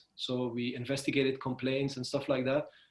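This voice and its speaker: A man with a fairly high pitch and a Belgian accent. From Belgium. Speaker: freelancer. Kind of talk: interview. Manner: hesitant, many fillers.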